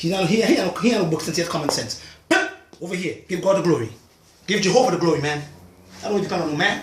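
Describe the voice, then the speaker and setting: Amid noticeable background noise and audible room echo, a man talks at a very fast pace in a high pitch with ordinary pitch variation and long, frequent pauses. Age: 60s. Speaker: natural health practitioner. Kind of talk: video monologue. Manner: animated.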